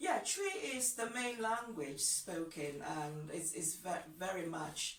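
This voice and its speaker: Audible room echo accompanies a woman with a Ghanaian accent who speaks at a fairly slow pace with lively intonation. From Ghana, Accra. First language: Ga. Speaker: language teacher. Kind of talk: tutorial.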